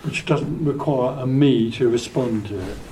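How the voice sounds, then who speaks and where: Amid noticeable background noise and audible room echo, a man speaks at a moderate pace. His pitch varies in an ordinary way. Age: 80s+. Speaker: spiritual teacher. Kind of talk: question and answer session. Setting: hotel meeting room with audience. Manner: calm.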